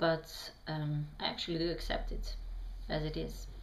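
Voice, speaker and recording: With audible room echo, a woman speaks with fairly even intonation. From Bosnia. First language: Bosnian. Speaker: vlogger answering questions. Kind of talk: reading prepared answers to camera. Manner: halting, many fillers.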